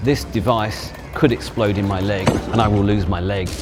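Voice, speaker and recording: A British accent at a moderate pace, with audible room echo and noticeable background noise. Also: man. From Britain. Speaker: photojournalist. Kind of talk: documentary testimony narration.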